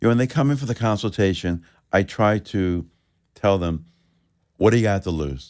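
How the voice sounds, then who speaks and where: With a New York accent, a man speaks at a moderate pace in a fairly low pitch with ordinary pitch variation, on a very clean recording with a silent background. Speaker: chiropractor. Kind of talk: live radio interview. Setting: radio studio.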